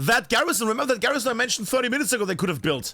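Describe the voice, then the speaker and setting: Lively intonation marks this man's speech. His voice is raised and projected, its tone bright and sharp. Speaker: esports caster. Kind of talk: live commentary. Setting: live stream. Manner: animated.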